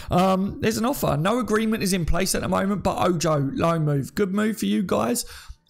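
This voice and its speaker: A man with an English accent, high-pitched and lively in intonation, at a fairly quick pace with hardly any pauses and very even loudness, amid audible room echo. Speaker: football YouTuber. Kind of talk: live stream commentary. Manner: stutter; casual.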